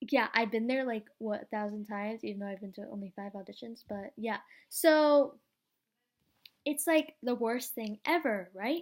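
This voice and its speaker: A woman speaks in an animated tone at a fairly high pitch with ordinary pitch variation. Her loudness swings a lot on a very clean recording with a silent background. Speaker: vlogger and young actor. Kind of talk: casual vlog. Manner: fast.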